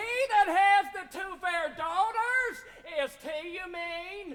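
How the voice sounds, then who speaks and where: In a put-on character voice, the speaker talks at an extremely high pitch and a very slow pace. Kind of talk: stage Shakespeare acting. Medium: stage play. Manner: exuberant.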